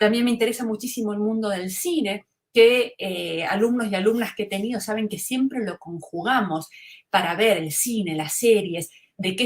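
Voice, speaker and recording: A woman speaks at a fairly slow pace in a somewhat breathy, medium-pitched voice with ordinary pitch variation. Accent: Rioplatense. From Argentina, Buenos Aires (Río de la Plata). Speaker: fashion communication lecturer. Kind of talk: webinar lecture. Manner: conversational, with filler words (este, eh).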